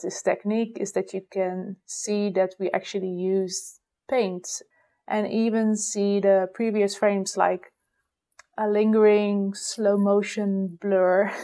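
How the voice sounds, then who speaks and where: In a Dutch accent, a woman speaks very slowly at a medium pitch, her dark, mellow tone delivered in a monotone, flat intonation. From Netherlands. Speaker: animator. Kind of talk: voicemail message.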